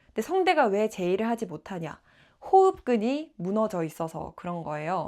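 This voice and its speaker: The recording is very clean, with a silent background. A woman at a medium pitch speaks with very wide pitch swings. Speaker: aspiring announcer and traffic caster. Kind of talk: vlog-style personal talk to camera.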